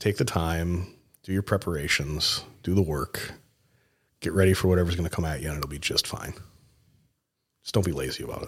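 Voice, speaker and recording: Speaking with an American accent, a man uses a very deep, low, somewhat breathy voice with ordinary pitch variation and long, frequent pauses, on a very clean recording with a silent background. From Mankato, Minnesota. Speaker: mortgage loan originator. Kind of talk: casual chat.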